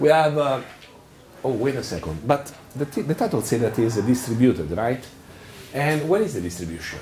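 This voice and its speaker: Speaking at a fairly quick pace, a man with a medium-pitched voice makes very wide pitch swings and leaves long, frequent pauses. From Italy. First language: Italian. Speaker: software engineering lead, conference speaker. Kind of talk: tech talk. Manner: animated; halting.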